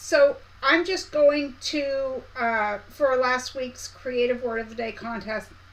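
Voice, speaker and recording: Against noticeable background noise, a woman speaks in a high voice. Her pitch swings very widely. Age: 50s. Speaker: quilting/sewing YouTuber. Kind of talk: live stream chat. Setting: live stream. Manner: casual, chatty.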